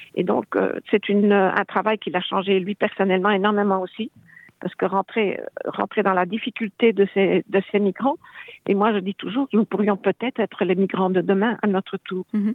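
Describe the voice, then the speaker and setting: At a moderate pace, a woman with a medium pitch speaks in a monotone, flat intonation. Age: 80s+. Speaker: foundation president. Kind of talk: interview. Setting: phone call.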